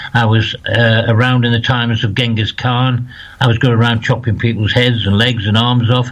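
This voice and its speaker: A man with a northeast English accent at a fairly quick pace, medium pitch and fairly even intonation, with noticeable background noise. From northeast England, County Durham. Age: 60s. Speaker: spiritual medium. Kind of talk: interview.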